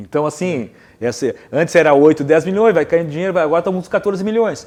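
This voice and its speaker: A man talks at a very fast pace in a high-pitched voice, his pitch varying in an ordinary way. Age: 60s. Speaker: cultural producer. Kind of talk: TV panel discussion. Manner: halting.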